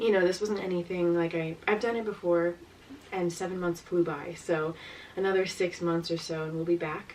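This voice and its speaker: Noticeable background noise sits behind a woman at a fairly low pitch. She keeps a moderate pace and a monotone, flat intonation. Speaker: travel vlogger. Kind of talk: casual chat. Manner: hesitant, many fillers.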